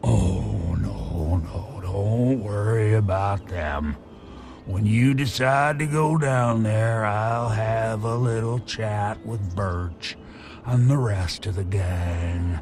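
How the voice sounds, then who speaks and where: Over clear background noise, a man uses a put-on character voice with a fairly low pitch at a very slow pace. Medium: video game. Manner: rambling, good-humored, polite.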